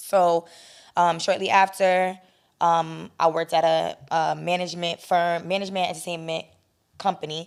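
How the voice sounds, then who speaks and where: A woman with a New York accent speaks in a monotone, flat way at a fairly low pitch, in a very clean recording with a silent background. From New York, the Bronx. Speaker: producer and talent manager. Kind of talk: interview.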